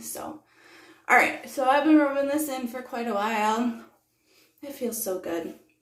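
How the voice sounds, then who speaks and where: A woman with a high pitch speaks in a relaxed tone, and audible room echo surrounds her voice. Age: 30s. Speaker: beauty vlogger. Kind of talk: get-ready-with-me tutorial. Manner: relaxed, casual with many fillers.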